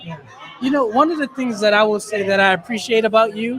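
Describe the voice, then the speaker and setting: The voice carries a Philadelphia accent. Noticeable background noise is present. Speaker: podcast host. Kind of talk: live podcast interview. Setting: live event at a taco restaurant.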